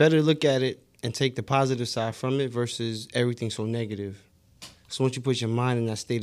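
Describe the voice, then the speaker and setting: This man has an ordinary speaking voice, pitched in the medium range for a man. He talks at a fairly quick pace with fairly even intonation. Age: 30s. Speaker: podcast co-host. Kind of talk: casual chat.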